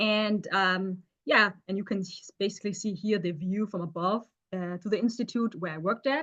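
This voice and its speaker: A woman at a moderate pace in a German accent. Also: medium pitch for a woman, ordinary pitch variation. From Germany, Stuttgart. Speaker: chemist. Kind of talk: seminar talk. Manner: halting, many fillers.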